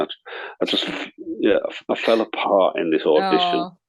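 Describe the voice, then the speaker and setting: A man with a Yorkshire accent at a fairly quick pace. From northern England, Leeds. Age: 60s. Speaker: actor and artist. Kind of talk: interview chat. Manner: halting, many repetitions.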